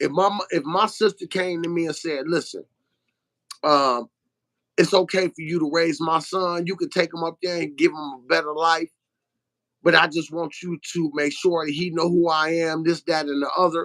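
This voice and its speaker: Talking at a moderate pace with a New Orleans accent, a man uses a high pitch, a bright, sharp tone and fairly even intonation. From Detroit, Michigan. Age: 50s. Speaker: truck owner-operator and author. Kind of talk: interview. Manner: halting.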